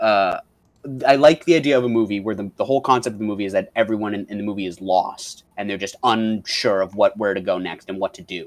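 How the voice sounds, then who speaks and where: This man talks very fast in a fairly low pitch with ordinary pitch variation. His volume rises and falls sharply. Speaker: podcast co-host. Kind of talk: casual chat. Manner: halting; loud.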